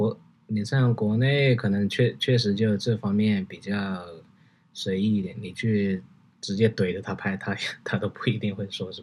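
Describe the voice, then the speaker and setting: This man has a Hunan accent and a fairly low pitch. His intonation stays fairly even. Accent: Hunan-accented Mandarin. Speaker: commercial fashion photographer. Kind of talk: casual chat.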